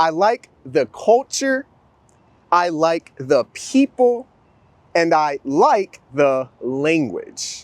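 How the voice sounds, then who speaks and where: His pitch swings over a very wide range. The man talks very slowly. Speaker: English teacher. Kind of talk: language lesson. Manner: clear enunciation.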